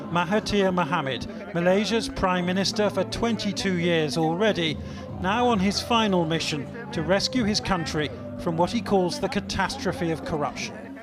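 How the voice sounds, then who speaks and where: Over music in the background, a man speaks at a high pitch and a moderate pace with ordinary pitch variation. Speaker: news reporter. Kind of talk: TV news narration.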